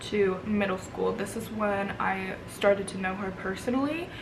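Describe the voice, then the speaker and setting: A woman with an American accent is heard amid noticeable background noise and audible room echo. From Vermont, US. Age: 20s. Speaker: beauty vlogger. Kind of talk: casual chat. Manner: casual with many fillers.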